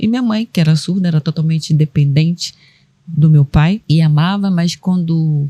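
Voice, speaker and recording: A woman's somewhat breathy, dark and mellow voice, fairly low in pitch, at a moderate pace with a dry, close sound and no echo. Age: 60s. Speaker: caregiver and sign language interpreter, guest. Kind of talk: personal testimony in podcast interview.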